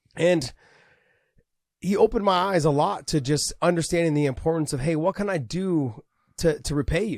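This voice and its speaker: A silent background makes for a very clean recording. His intonation is lively as the man talks. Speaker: MMA podcast co-host, former fighter. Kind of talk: casual chat. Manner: loud.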